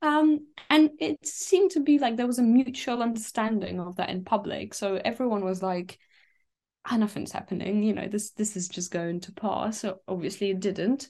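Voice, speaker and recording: Against a quiet background, a woman talks at a moderate pace in a somewhat breathy, fairly high voice with lively intonation. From Donetsk, eastern Ukraine. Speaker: refugee and content creator. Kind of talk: interview.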